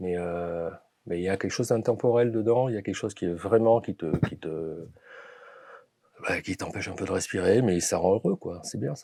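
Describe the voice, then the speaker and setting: Pausing long and often, a man speaks at a moderate pace with a fairly low pitch, ordinary pitch variation and big swings in loudness. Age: 60s. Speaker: film producer, former finance engineer. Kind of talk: interview. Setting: podcast studio. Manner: halting, many fillers and repetitions.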